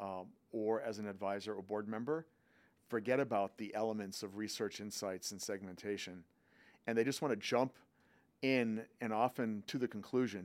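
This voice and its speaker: A man with an American accent has a plain, everyday voice at fairly low pitch. He keeps a moderate pace and fairly even intonation in a very clean recording with a silent background. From US Northeast, Boston. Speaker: marketing executive. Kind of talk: interview conversation.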